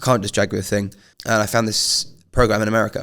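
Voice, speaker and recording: Speaking very fast, a man uses a fairly low pitch with vocal fry. The recording is very clean, with a silent background. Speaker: podcast host. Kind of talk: casual chat. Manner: animated.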